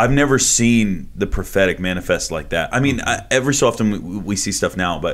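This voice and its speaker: Here a man talks at a fairly quick pace with ordinary pitch variation. His is a plain, everyday voice. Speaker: podcast host. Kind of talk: casual interview chat.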